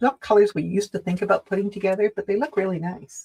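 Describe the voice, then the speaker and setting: A man speaks in a high voice. The sound is dry and close, with no echo. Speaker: fabric shop live show co-host. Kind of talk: casual live product chat. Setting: live video stream.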